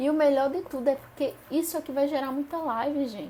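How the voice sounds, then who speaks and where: A high-pitched woman with an animated tone at a moderate pace. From Paraíba, Northeast Brazil. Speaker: spiritist study group leader. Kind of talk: live-streamed study lesson. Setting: live stream.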